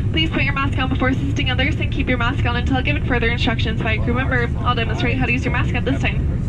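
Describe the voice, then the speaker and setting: Very fast speech with hardly any pauses over loud background noise. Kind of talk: safety announcement. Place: plane.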